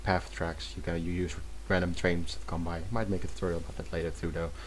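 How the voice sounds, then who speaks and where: A man with a non-native accent, very wide pitch swings and vocal fry. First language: not English. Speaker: video game mapping tutorial creator. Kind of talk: tutorial. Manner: halting, many self-corrections.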